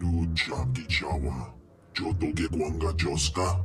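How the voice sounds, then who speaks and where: A man puts on a character voice with a very deep, low pitch. Background noise is clearly audible. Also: fairly slow pace. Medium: video game. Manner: speaks an alien language.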